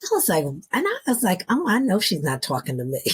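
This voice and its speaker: Somewhat breathy and animated in tone, this voice carries an American accent at a moderate pace. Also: woman. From US Pacific Northwest (Seattle suburbs), early childhood in Nashville. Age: 60s. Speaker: grief and loss coach. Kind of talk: interview storytelling.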